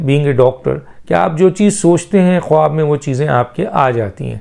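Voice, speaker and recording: Over a quiet background, a man speaks with lively intonation. His pitch is fairly high and his tone dark and mellow. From Pakistan. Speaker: political commentator. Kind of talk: political commentary monologue. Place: home room. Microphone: lapel.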